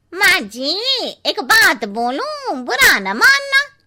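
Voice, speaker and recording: In a cartoonish character voice, a woman speaks at a very slow pace with an extremely high pitch and very wide pitch swings. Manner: blunt, cheeky.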